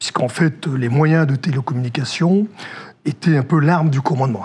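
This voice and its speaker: Noticeable background noise behind a man's fairly high voice with ordinary pitch variation. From northern France. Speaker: former army officer, security director. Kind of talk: interview. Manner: hesitant, many fillers.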